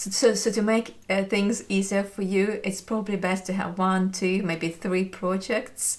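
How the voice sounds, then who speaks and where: Speaking with a non-native accent, a woman keeps a moderate pace at a medium pitch. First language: not English. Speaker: knitting YouTuber. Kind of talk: casual chat. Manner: hesitant, with fillers.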